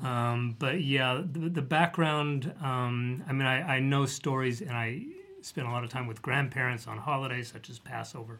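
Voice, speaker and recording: A man with an American accent, a normal speaking voice and a moderate pace. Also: medium pitch for a man, fairly even intonation. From US, Denver, Colorado. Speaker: author. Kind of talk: casual chat.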